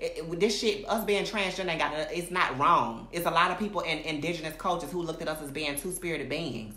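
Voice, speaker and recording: A woman's fairly low, animated voice at a very fast pace with hardly any pauses and ordinary pitch variation, plus audible room echo and noticeable background noise. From Alabama, US South. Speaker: recording artist and social media personality. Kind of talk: livestream monologue. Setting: live video stream. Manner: animated, emphatic; halting, self-interrupting.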